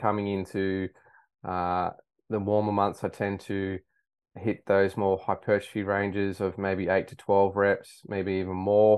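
A man with an Australian accent speaks at a fairly slow pace. His fairly low voice stays monotone and flat. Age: 30s. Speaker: high school science teacher. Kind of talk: casual interview.

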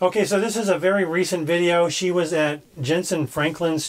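Noticeable noise sits in the background while the speaker holds a moderate pace. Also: man. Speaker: podcast host critiquing sermons. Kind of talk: casual commentary chat.

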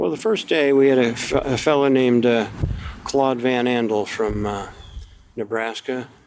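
With an American accent, a man talks at a moderate pace and medium pitch with fairly even intonation over noticeable background noise. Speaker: Vietnam veteran. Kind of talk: interview. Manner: halting.

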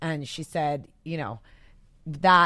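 In a very clean recording with a silent background, a woman with an American accent and a very deep, low pitch speaks at a very slow pace. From US, El Paso, Texas. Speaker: fashion magazine editor. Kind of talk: casual interview chat.

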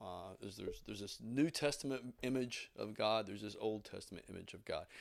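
Very clean recording with a silent background, featuring a man at a medium pitch, fairly quick pace and ordinary pitch variation. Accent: Tennessee. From US South, southeast Tennessee. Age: 40s. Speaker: pastor. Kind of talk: sermon. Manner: casual, conversational.

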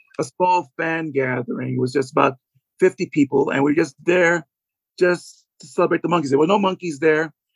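With an unremarkable speaking voice, a man talks at a fairly quick pace and fairly high pitch, with ordinary pitch variation, in a dry, close sound with no echo. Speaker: author and fan. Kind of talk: casual interview.

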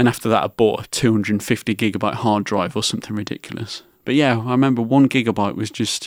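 At a very fast pace with hardly any pauses, a man with an English accent talks at a medium pitch and fairly even intonation, on a very clean recording with a silent background and a dry, close sound with no echo. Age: 20s. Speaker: podcast host with cystic fibrosis. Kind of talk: personal storytelling monologue.

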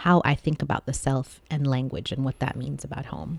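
A woman with an American accent talks at a very deep, low pitch with vocal fry and ordinary pitch variation. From born in US, childhood partly in Saudi Arabia. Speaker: poet and translator. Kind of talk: interview conversation.

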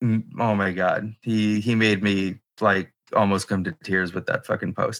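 An ordinary speaking voice from a man, fairly low in pitch, at a fairly slow pace, with fairly even intonation and a dry, close sound with no echo. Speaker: artist selling prints. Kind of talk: casual chat.

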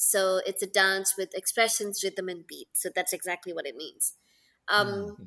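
A woman's bright, sharp voice at a moderate pace, with fairly even intonation, big swings in loudness and a very clean recording over a silent background. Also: medium pitch for a woman, dry, close sound with no echo. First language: Tamil. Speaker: Bharatanatyam dancer. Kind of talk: casual interview chat.

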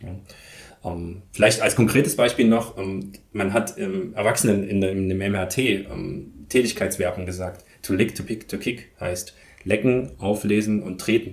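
Fairly low in pitch and somewhat breathy, a man speaks at a fairly slow pace with hardly any pauses and ordinary pitch variation. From eastern Germany, Leipzig. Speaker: professor of movement and sports education. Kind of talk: interview. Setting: office at a university sports campus.

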